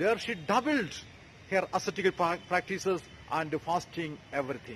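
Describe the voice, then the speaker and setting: Light background noise sits under a man's voice. He speaks at a moderate pace. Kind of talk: sermon. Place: street. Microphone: phone near.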